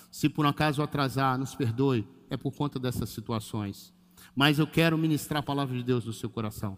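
On a very clean recording with a silent background, a man with an ordinary speaking voice talks at medium pitch and a moderate pace with ordinary pitch variation. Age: 50s. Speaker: pastor. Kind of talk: sermon. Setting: church livestream.

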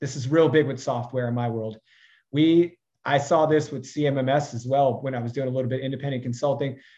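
A man speaks at a moderate pace in a medium pitch, with fairly even intonation and a plain, everyday voice. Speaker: consulting CEO, course provider. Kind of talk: casual interview chat.

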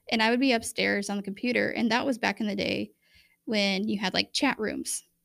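A woman with an American accent talks at a fairly high pitch, with vocal fry and ordinary pitch variation. The recording is very clean, the background silent. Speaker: podcast co-host sharing faith testimony. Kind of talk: testimony.

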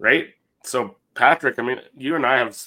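A man's bright, sharp tone. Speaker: podcast co-host. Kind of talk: casual chat.

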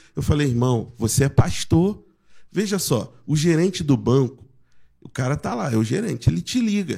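Speaking at a moderate pace, a man has a Rio de Janeiro accent and a fairly high pitch with very wide swings. His tone is dark and mellow, and somewhat breathy. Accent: Carioca Brazilian Portuguese. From Rio de Janeiro (Jacarepaguá), Brazil. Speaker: pastor. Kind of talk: casual chat.

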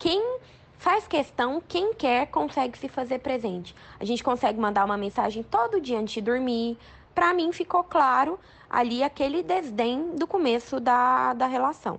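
A woman talks at a moderate pace, her high pitch moving through very wide swings. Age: 20s. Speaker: oral surgeon. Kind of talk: recorded advice commentary.

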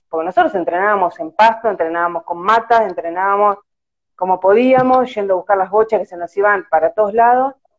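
A woman speaks in a normal speaking voice at medium pitch. Her pace is fairly quick, with ordinary pitch variation. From Argentina, La Plata. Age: 40s. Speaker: amateur field hockey goalkeeper. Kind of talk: casual interview. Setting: Instagram live video call.

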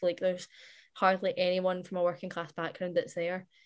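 Against a quiet background, a woman rattles off words at a very fast pace in a medium pitch with monotone, flat intonation. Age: young. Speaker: youth activist. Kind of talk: recorded interview clip.

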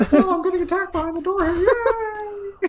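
A put-on character voice, extremely high in pitch, at a moderate pace. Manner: mock-screaming, playful.

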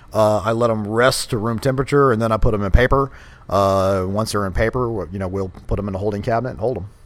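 This man talks at a very fast pace in a Texan accent. His pitch is fairly low. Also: fairly even intonation. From Texas, Katy near Houston. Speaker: barbecue restaurant owner and army veteran. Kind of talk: casual interview.

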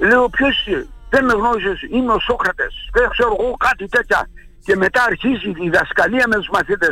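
A man with an extremely high pitch, a raised, projected voice and lively intonation at a moderate pace. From Xanthi area, Thrace, Greece. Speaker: retired journalist and author. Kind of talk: interview. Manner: halting.

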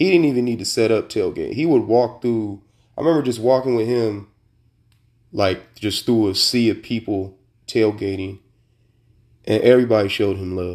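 With an American accent, a man talks at a moderate pace with ordinary pitch variation and long, frequent pauses. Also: medium pitch for a man, very clean recording, silent background. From Sacramento, California. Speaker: podcast host. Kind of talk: casual chat, with a heartfelt eulogy-style tribute to his late grandparents. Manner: conversational and rambling, full of fillers and restarts; warm, nostalgic and sincere, with a reflective tone when remembering his grandparents.

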